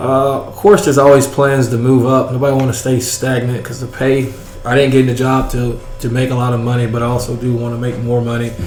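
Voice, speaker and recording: A man with a Southern US accent talks at a very fast pace and medium pitch, in monotone, flat intonation. Noticeable background noise and audible room echo surround him. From US South, rural Georgia. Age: 20s. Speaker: school resource officer. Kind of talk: interview.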